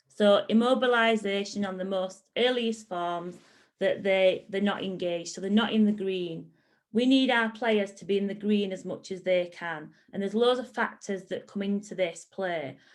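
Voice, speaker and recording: An unremarkable speaking voice at a moderate pace, with fairly even intonation and big swings in loudness. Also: woman, medium pitch for a woman. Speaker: football coach educator. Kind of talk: online presentation.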